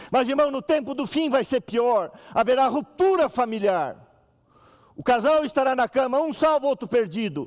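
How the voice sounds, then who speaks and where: Pitched extremely high, a man speaks at a moderate pace with an animated tone and lively intonation. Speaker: pastor. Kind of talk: sermon.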